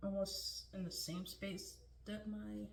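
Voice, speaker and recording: A woman is soft-spoken. The room echo is audible. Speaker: beauty vlogger. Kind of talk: makeup tutorial. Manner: casual, filler-heavy.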